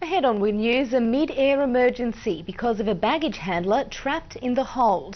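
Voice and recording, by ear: A woman's fairly high-pitched voice with lively intonation. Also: moderate pace.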